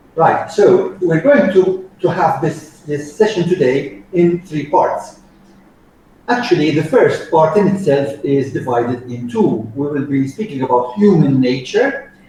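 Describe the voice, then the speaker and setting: Noticeable background noise sits behind a man speaking at a fairly high pitch. His intonation is lively and his pace fairly slow. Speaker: soft skills trainer. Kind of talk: training lecture.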